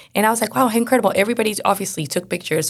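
This woman's voice sits at medium pitch. Vocal fry runs through her speech. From Venezuela. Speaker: corporate storyteller and author. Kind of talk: casual interview.

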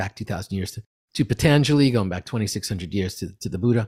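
A man's somewhat breathy voice in a dry, close sound with no echo, in a very clean recording with a silent background. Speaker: meditation teacher. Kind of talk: guided meditation.

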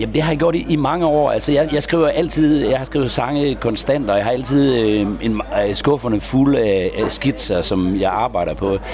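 The speaker uses lively intonation at a moderate pace with very even loudness, over noticeable background noise. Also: man, medium pitch for a man. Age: 50s. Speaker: troubadour. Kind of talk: interview. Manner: halting, many repetitions.

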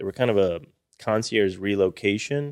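A man with an American accent and a plain, everyday voice speaks at a moderate pace in a fairly low pitch, on a very clean recording with a silent background. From Austin, Texas. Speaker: business advisor, former business buyer. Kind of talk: podcast interview.

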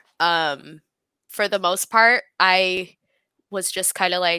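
Her bright, sharp voice carries fairly even intonation, and the woman's sound is dry and close with no echo. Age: 20s. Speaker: former exotic dancer in recovery. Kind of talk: casual interview chat. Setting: remote live video stream. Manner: halting, many fillers.

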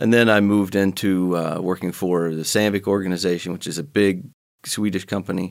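Very deep and low, a man's voice moves at a moderate pace. The recording is very clean, with a silent background. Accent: American. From Ohio, US. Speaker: company executive. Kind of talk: interview.

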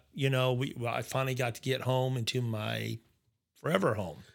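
A man at a moderate pace with fairly even intonation, music playing in the background. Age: 50s. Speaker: motorcycle accident survivor. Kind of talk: casual chat. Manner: halting.

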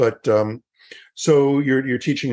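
A man with an unremarkable speaking voice and medium pitch talks at a moderate pace against a quiet background. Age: 60s. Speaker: yoga educator and podcast host. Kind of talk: promotional outro; interview.

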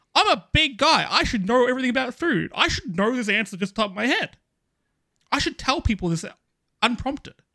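A man with an extremely high pitch and an Australian accent talks at a fairly quick pace with lively intonation and long, frequent pauses. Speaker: gaming podcaster. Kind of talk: casual chat.

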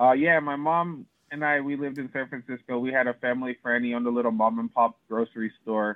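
A man at medium pitch with fairly even intonation, very fast and with hardly any pauses. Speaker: horse trainer. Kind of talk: casual interview.

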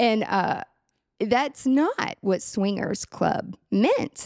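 In a Tennessee accent, a woman speaks at a fairly high pitch with lively intonation. The recording is very clean, with a silent background and a dry, close sound with no echo. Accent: Southern US (Tennessee). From US South, Nashville area, Tennessee. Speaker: productivity consultant and event planner. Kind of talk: casual interview chat.

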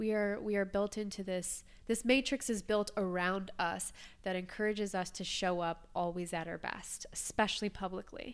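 Speaking at a moderate pace, a woman with an ordinary speaking voice keeps a medium pitch and fairly even intonation, recorded very cleanly against a silent background. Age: 30s. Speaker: podcaster and coach. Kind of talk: casual chat.

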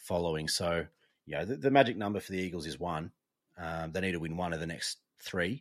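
In an Australian accent, a man speaks at a fairly quick pace with a very deep, low pitch and ordinary pitch variation, over a quiet background. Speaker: sports podcast co-host. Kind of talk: casual chat.

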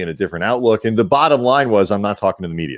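The pitch varies in an ordinary way. It is a plain, everyday voice. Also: man. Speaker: podcast host. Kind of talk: casual chat.

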